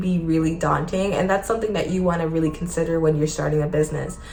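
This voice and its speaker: Audible room echo and noticeable background noise around a woman's voice. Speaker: small business owner and vlogger. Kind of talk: casual advice vlog. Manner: fast.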